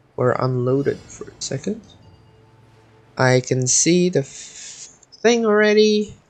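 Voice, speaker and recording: Very slow speech over music in the background. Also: long, frequent pauses. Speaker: gaming streamer. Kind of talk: live gameplay commentary. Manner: animated.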